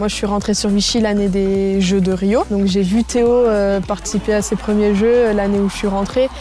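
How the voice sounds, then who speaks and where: A woman talks in a monotone, flat way. Noticeable background noise runs underneath. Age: 20s. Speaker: paralympic swimmer. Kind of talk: interview testimony.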